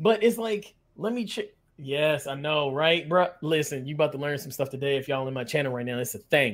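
A plain, everyday voice moves at a fairly quick pace with lively intonation on a very clean recording with a silent background. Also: man, fairly high pitch for a man. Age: 30s. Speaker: Twitch streamer. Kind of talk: casual chat.

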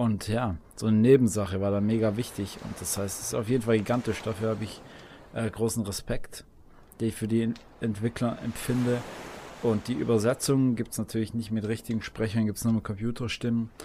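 The man's pitch is medium and his intonation monotone and flat. He talks at a fairly quick pace. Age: 20s. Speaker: video gamer. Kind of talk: casual chat.

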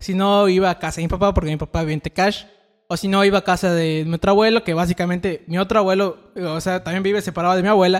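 A man speaks very fast in a high pitch with monotone, flat intonation. The sound is dry and close, with no echo. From Yucatán, Mexico (Tekax). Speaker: podcast co-host. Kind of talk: casual chat.

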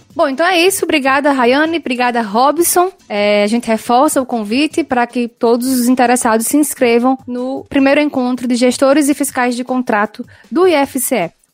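Against noticeable background noise, a high-voiced woman speaks at a moderate pace with hardly any pauses and ordinary pitch variation. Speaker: radio co-host, audiovisual technician. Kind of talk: radio presenting. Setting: radio studio.

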